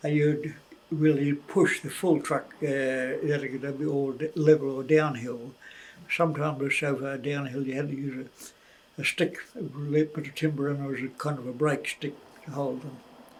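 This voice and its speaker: A man with a New Zealand accent speaks at a moderate pace and a fairly high pitch, with monotone, flat intonation and big swings in loudness. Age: 80s+. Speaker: former miner, farmer and aviator. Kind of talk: interview answer. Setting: at home.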